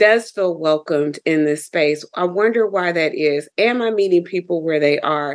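A woman with a normal speaking voice talks at a moderate pace with hardly any pauses. Her pitch is fairly low, with ordinary pitch variation. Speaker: yoga teacher. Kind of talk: casual interview.

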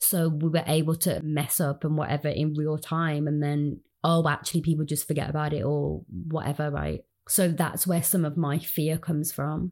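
In a very clean recording with a silent background, a woman with a Birmingham accent speaks in a monotone, flat intonation at a very deep, low pitch. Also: moderate pace. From Birmingham, England. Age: 20s. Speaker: community organiser. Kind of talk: interview.

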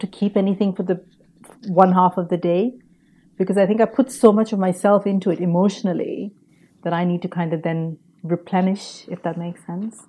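A woman's dark, mellow tone at medium pitch, fairly quick and fairly even in intonation. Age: 40s. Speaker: podcaster, former advertising professional. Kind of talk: interview.

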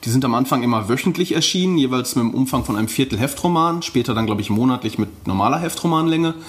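Noticeable background noise is present. The speaking pace is very fast. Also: man. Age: 30s. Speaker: pulp fiction author. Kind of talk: interview.

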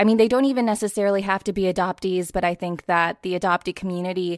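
A woman with a medium pitch has a plain, everyday voice and fairly even intonation. The recording is very clean with a silent background and a dry, close sound with no echo. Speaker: audiobook narrator and actor. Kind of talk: casual interview.

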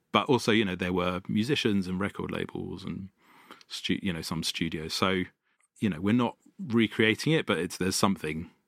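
A man with a London accent speaks at a very deep, low pitch and a fairly quick pace. His pitch varies in an ordinary way, and the sound is dry and close with no echo. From North London. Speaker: venue founder and sound engineer. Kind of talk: casual interview. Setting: live venue.

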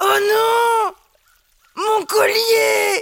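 Someone shouts in a put-on character voice. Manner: sad.

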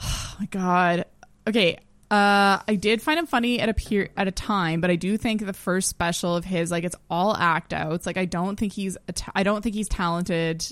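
A woman with a Canadian accent speaks in a plain, everyday voice at a moderate pace. Her pitch is medium and her intonation fairly even. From Ontario. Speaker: comedian. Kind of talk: casual chat.

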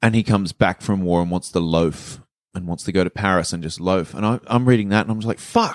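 A man with an Australian accent and a very deep, low pitch, fairly quick delivery, ordinary pitch variation, and a dry, close sound with no echo. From Sydney, Australia (western suburbs). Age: 30s. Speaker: comedian. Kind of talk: casual chat.

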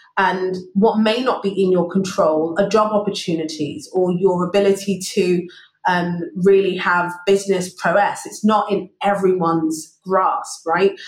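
A woman with a London accent speaks at a medium pitch and a fairly slow pace. She leaves hardly any pauses, and her intonation is fairly even. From London (Wimbledon), England. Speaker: finance executive. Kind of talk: interview. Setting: remote call.

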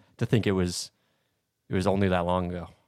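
A man speaks in a very clean recording against a silent background. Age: 20s. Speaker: sports podcast co-host. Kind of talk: casual chat.

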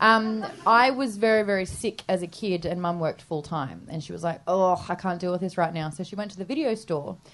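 A woman with an Australian accent, fairly quick and with hardly any pauses, medium in pitch with ordinary pitch variation. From Australia, Sydney. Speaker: radio presenter and podcaster. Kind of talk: live comedy podcast interview. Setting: stage with live audience.

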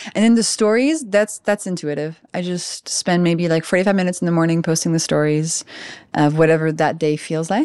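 A fairly low-pitched woman with a French accent, fairly quick pace and ordinary pitch variation, over a quiet background. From France (Paris). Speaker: biochemist and health author. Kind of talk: casual interview chat.

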